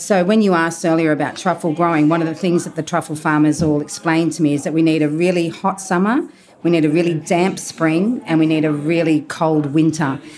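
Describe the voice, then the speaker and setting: A woman with an Australian accent talks at a fairly quick pace with hardly any pauses. Her pitch is fairly low. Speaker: truffle and caviar supplier. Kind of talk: casual interview. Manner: animated; halting.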